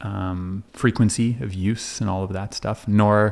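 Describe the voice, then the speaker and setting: With a French accent, a man speaks in a fairly low voice with fairly even intonation. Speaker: counselor. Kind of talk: podcast interview. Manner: halting, many false starts.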